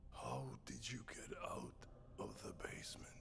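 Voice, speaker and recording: A put-on character voice whispers at a moderate pace. Loud background noise runs underneath. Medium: video game.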